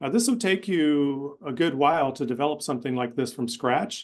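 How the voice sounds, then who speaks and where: Over a quiet background, a man talks at a fairly quick pace in a fairly high pitch. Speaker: webinar presenter demonstrating a course design tool. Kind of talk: software demo in a webinar. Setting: online webinar. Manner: fast.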